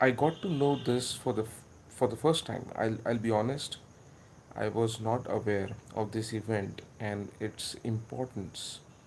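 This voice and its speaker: A man with a Marathi Indian accent speaks at a medium pitch and a fairly slow pace, his pitch varying in an ordinary way. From India (Maharashtra). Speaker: history video maker. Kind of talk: casual commentary monologue. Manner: halting, many filler words.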